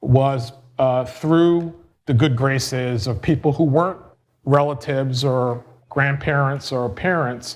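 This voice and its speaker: Speaking at a fairly slow pace, a man uses a medium pitch and fairly even intonation, with audible room echo. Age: 50s. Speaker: real estate developer. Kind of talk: lecture. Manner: hesitant, with many fillers.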